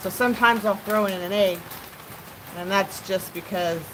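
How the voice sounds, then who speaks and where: An American accent against noticeable background noise. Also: woman. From California. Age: 50s. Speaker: live streamer. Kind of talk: casual live stream chat. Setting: at home by open door, pellet stove.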